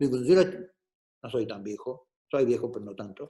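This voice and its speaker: A man speaks with an Argentine accent and lively intonation. His tone is dark and mellow. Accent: Argentine Spanish (Rioplatense). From Argentina. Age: 60s. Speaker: politician. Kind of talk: talk to students.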